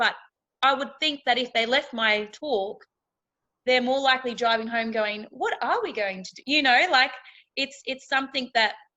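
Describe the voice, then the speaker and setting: A woman with a rural Australian accent, fairly high in pitch, with ordinary pitch variation and a moderate pace. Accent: country Australian twang. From outback Australia. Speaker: reality TV contestant and keynote speaker. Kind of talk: interview chat. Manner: animated.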